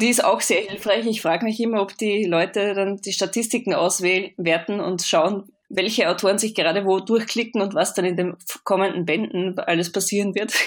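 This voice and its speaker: A woman with a slight Austrian accent speaks at a moderate pace in a medium pitch, her intonation fairly even and her speech hardly broken by pauses. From Austria, Vienna. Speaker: author. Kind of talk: interview.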